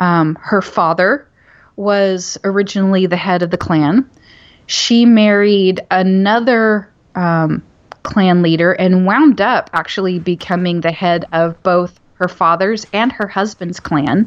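Speaking very slowly in a Southern Oklahoma accent, a woman uses a medium pitch with ordinary pitch variation. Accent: Southern Oklahoma (US South). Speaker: author. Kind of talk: casual interview.

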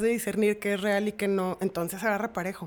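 An ordinary speaking voice proceeds at a moderate pace. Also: woman. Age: 30s. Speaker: host's sister. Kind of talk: casual chat.

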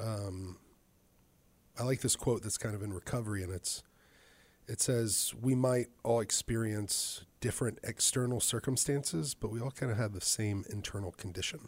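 On a very clean recording with a silent background, a man with a fairly low, somewhat breathy voice talks with ordinary pitch variation. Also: moderate pace. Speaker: guest interviewer. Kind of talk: casual interview. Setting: studio. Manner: warm, encouraging.

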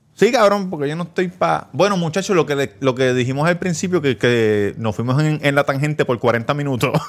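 With lively intonation and hardly any pauses, a man with an ordinary speaking voice and a fairly high pitch talks at a moderate pace. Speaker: podcast host. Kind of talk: casual chat.

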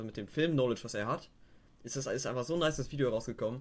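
Very fast pace from a man at medium pitch, with ordinary pitch variation. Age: young. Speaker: guest. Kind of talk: casual chat.

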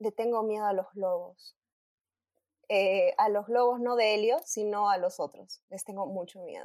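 Here a woman speaks with a Peruvian accent at a fairly high pitch and a fairly slow pace. The sound is dry and close, with no echo. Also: ordinary pitch variation. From Peru, Arequipa. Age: 20s. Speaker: industrial engineer. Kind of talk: casual chat.

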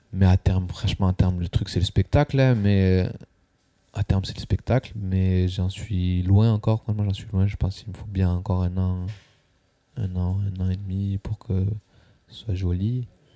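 With long, frequent pauses and a fairly slow pace, a man with a very deep, low pitch and a dark, mellow tone speaks in a monotone, flat intonation, his loudness swinging widely. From southwest France, near Toulouse. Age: 20s. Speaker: stand-up comedian. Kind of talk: casual chat.

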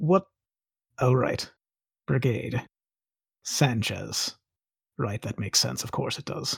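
Using a put-on character voice, a man speaks at a medium pitch and a fairly slow pace. Long, frequent pauses break up his speech. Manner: brisk, businesslike.

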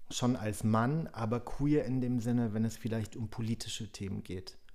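A man's dark, mellow tone comes at a moderate pace with fairly even intonation. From German-Polish border area (Frankfurt an der Oder). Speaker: podcast guest, film festival worker. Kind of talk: casual chat.

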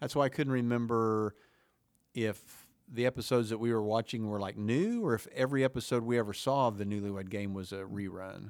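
A man with an American accent talks at a fairly quick pace, medium in pitch and fairly even in intonation, in a plain, everyday voice. The recording is very clean, with a silent background. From Oklahoma. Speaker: podcast host. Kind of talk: casual chat. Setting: studio.

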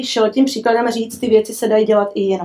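A woman with a plain, everyday voice talks fairly quickly at a fairly high pitch. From Cuba. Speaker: business executive. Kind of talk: interview.

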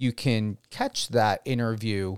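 A man with a New Jersey accent speaks at a medium pitch with ordinary pitch variation. The sound is dry and close, with no echo. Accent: New Jersey American. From New Jersey, US. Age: 40s. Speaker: radio host. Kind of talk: radio interview.

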